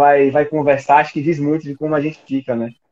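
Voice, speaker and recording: This is a man speaking. He has a Bahian accent. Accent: Bahian Brazilian Portuguese. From Bahia, Brazil. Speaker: podcaster. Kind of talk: interview answer. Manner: cheerful.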